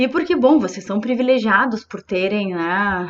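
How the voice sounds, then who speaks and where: A woman with a southern Brazilian accent and ordinary pitch variation. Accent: gaúcho Brazilian Portuguese. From southern Brazil, Rio Grande do Sul. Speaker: psychologist. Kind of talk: informal presentation to students.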